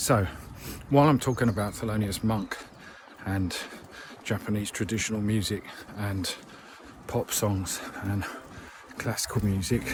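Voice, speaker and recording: A relaxed, fairly low-pitched man at a moderate pace, fairly even intonation, long, frequent pauses and noticeable background noise. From Bromley, south-east London. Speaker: musician and video blogger. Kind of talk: casual monologue to camera. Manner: casual, relaxed with fillers.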